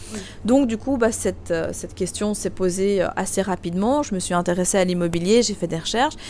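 With a plain, everyday voice, a woman talks at a fairly quick pace, a medium pitch and ordinary pitch variation. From Belgium. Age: 20s. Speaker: real estate investor and coach. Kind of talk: interview.

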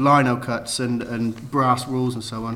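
Noticeable background noise runs under speech delivered at a moderate pace. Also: man. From Cheltenham, England. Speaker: letterpress printer. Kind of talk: interview conversation. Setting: office studio. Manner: hesitant, many fillers.

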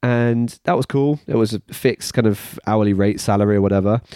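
In a British accent, the voice moves at a fairly quick pace with a dark, mellow tone and fairly even intonation, the sound dry and close with no echo against a quiet background. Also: man. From UK. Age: 30s. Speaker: personal trainer / fitness business owner. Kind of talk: monologue about career. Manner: halting, many fillers and repeats.

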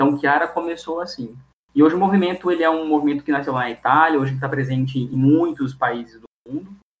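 Very fast speech from a man, his voice fairly high-pitched, the pitch varying in an ordinary way. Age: 20s. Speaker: architecture student. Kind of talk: interview. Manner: halting.

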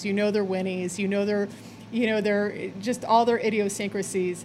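A woman speaks in an ordinary speaking voice at a medium pitch. Her pace is fairly quick. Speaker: guest animal lover. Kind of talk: casual interview.

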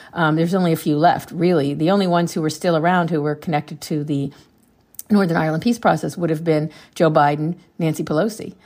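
Over a very clean recording with a silent background, a woman with an American accent speaks very fast, her fairly low pitch held in fairly even intonation. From US, Pennsylvania. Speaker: scholarship program founder. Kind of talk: interview. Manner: halting.

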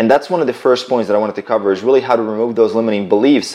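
A man is speaking. He has a slight Croatian accent. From Croatia, village near Bosnian border. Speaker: fitness entrepreneur. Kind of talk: casual interview. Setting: in-person at host's flat.

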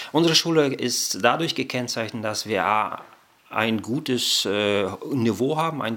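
A man with a bright, sharp tone talks at a moderate pace, his pitch varying in an ordinary way. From Germany, came from Kazakhstan as child. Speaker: bible college director of studies. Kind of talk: interview.

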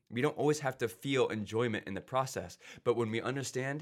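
A man with an American accent and a normal speaking voice talks fairly quickly at a medium pitch with ordinary pitch variation, on a very clean recording with a silent background. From Ohio. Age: 20s. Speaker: pastor. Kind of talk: casual chat.

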